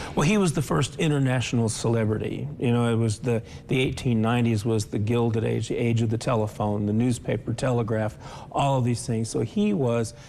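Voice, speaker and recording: Talking at a fairly quick pace, a man has a normal speaking voice at medium pitch with ordinary pitch variation. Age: 60s. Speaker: author and civic leader. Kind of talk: interview.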